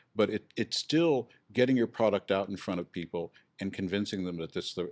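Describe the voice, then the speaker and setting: Against a quiet background, a man with a fairly low pitch and a normal speaking voice talks fairly quickly with ordinary pitch variation, in a dry, close sound with no echo. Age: 60s. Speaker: real estate instructor. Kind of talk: podcast interview.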